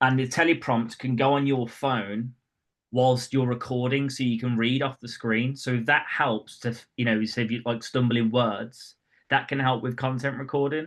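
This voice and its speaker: In a Birmingham accent, a man speaks at a medium pitch and a moderate pace with monotone, flat intonation. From West Midlands, England (Birmingham). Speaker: property branding coach. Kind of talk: webinar talk. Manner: casual, with filler words.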